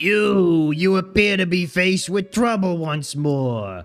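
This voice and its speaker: With faint music in the background, a man puts on a high-pitched character voice and speaks at a fairly slow pace. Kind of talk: formal, archaic. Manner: soft, serene, gentle.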